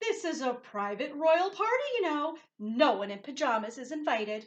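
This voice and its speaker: Loud and high-pitched, a woman performs a put-on character voice at a moderate pace with very wide pitch swings. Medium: read story. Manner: loud, imperious.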